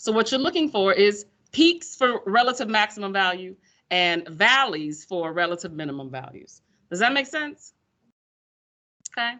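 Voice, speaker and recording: Her Pensacola accent carries an animated tone as this woman, at a medium pitch, makes very wide pitch swings at a moderate pace with long, frequent pauses. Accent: Pensacola Florida speech. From US South, Pensacola, Florida. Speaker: high school math teacher. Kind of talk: classroom lecture. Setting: classroom with students. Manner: animated, conversational.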